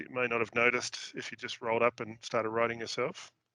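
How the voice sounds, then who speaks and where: A man with an Australian accent speaks at a medium pitch in a bright, sharp tone, the sound dry and close with no echo. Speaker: show host. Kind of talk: casual interview chat.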